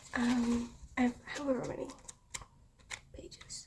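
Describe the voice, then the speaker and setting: A soft-spoken voice comes through with a British accent. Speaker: student vlogger and artist. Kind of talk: casual vlog chat. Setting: indoors, student room. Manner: quiet.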